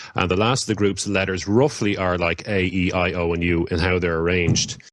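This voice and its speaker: Speaking in an Irish accent, a man with a very deep, low pitch keeps a fairly even intonation over a quiet background. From Ireland. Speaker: occult practitioner. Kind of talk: podcast interview. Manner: halting, many fillers.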